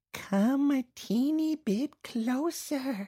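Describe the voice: This female-sounding voice is a put-on character voice pitched high for a woman.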